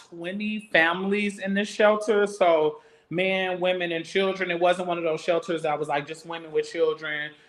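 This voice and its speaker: With an American accent, this man speaks at a moderate pace in a high voice with fairly even intonation over noticeable background noise. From Madison, Wisconsin (born Houston, Texas). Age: 30s. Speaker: dance program and arts initiative founder. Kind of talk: podcast interview. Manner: conversational, many fillers.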